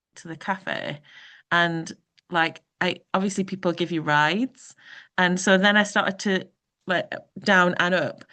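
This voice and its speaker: Speaking with a Geordie accent, a woman talks at a fairly slow pace and medium pitch, with fairly even intonation and long, frequent pauses. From northern England, Newcastle (Geordie). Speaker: performance artist. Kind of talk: panel discussion. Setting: video call.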